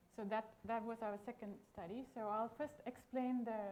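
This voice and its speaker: Noticeable background noise behind a woman with a fairly high voice. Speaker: researcher, epidemiologist. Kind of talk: conference talk. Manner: quiet. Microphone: too quiet for the room.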